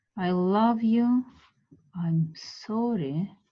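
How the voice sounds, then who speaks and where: The speaker has a Russian accent and a somewhat breathy quality. The intonation is lively. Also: woman. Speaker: art teacher. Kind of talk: guided meditation class. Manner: slow; halting.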